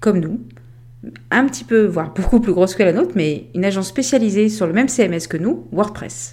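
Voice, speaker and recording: Very wide pitch swings and vocal fry run through this fairly quick delivery. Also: woman. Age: 40s. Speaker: podcast host, remote work consultant. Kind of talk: scripted monologue.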